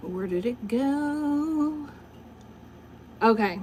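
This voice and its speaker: Speaking with a Southern US accent, a woman has an animated tone and lively intonation. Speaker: livestreamer and poet. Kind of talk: casual livestream monologue.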